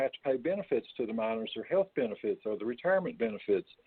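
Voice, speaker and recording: A man's medium-pitched voice with an Appalachian accent and ordinary pitch variation. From West Virginia. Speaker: retired coal miner and storyteller. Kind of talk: interview answer.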